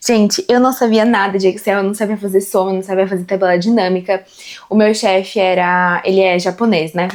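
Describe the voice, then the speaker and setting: The woman speaks fairly quickly at a medium pitch. Her loudness stays very even. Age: 20s. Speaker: corporate team leader and content creator. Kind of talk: casual talk to camera about career. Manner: conversational, animated.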